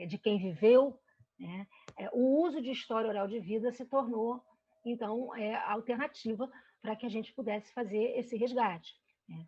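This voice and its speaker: With a dark, mellow tone in a fairly high pitch, a woman speaks at a moderate pace with ordinary pitch variation and big swings in loudness. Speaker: researcher presenting study. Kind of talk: academic lecture presentation. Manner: hesitant with fillers.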